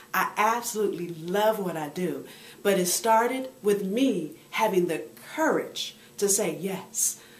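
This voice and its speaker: A woman speaks in an animated tone, with audible echo from the room. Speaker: motivational speaker and women's coach. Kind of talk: video blog monologue. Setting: on the road.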